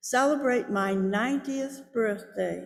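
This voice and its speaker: Amid audible room echo, a woman speaks with fairly even intonation at a fairly high pitch. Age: 80s+. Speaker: lay service leader. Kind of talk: personal reflection in church service. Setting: church sanctuary.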